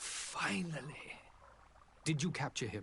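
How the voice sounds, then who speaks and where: Over clear background noise, a man uses a raspy, put-on character voice at a medium pitch and a fairly slow pace. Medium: video game. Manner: formal.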